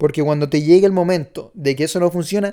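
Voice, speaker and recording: Words tumble out at a very fast pace. The background is silent and the recording very clean. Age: 20s. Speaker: podcast host, entrepreneur. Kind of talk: opinion monologue.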